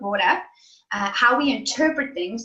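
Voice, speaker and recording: A woman talks with a high pitch and lively intonation. Her tone is bright and sharp. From South Africa. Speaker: life coach. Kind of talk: interview answer.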